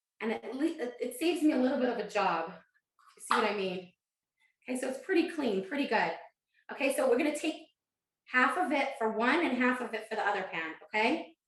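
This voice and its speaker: In a room with audible echo, a woman speaks high and at a fairly quick pace, her pitch swinging very widely between long, frequent pauses. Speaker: cooking instructor. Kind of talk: live online cooking class. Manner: fast.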